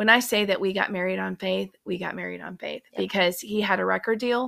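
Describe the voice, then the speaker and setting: A woman with a Southern US accent speaks at a fairly quick pace. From US South, mostly Georgia. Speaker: guest, host's mother. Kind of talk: personal testimony.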